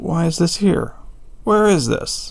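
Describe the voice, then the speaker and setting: A man uses a put-on character voice. His pitch is high. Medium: read story.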